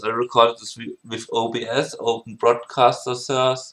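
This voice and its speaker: A man speaks with a German accent at medium pitch. His pace is fairly slow, and the background is quiet. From Germany. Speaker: music producer. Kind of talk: tutorial. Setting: home screen recording. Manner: halting, many fillers and restarts. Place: home room.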